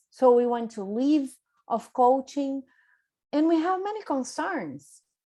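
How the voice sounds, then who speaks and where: A high-pitched woman with a Brazilian Portuguese accent speaks at a fairly slow pace with ordinary pitch variation against a quiet background. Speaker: business coach. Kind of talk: workshop presentation. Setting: video conference.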